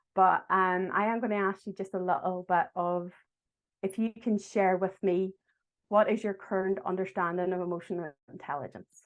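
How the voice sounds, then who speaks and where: Speaking in a Derry accent at a moderate pace, a woman keeps a medium pitch and a monotone, flat intonation against a quiet background. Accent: Derry Irish. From Northern Ireland, Derry. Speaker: agile coach. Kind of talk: online talk to an audience. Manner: friendly, engaging.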